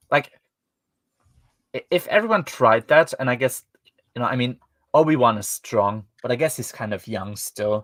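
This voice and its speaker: At a moderate pace, a man with a German accent and medium pitch speaks with lively intonation and long, frequent pauses, recorded dry and close with no echo. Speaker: podcast host reviewing books. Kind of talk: casual chat. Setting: livestream. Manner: hesitant, many fillers.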